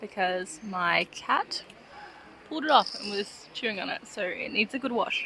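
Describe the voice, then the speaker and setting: Fairly high-pitched and with lively intonation, a woman speaks over noticeable background noise. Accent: Australian. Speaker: artist vlogger selling at a market. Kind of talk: vlog talking to camera. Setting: market stall with customers. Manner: chatty, fast.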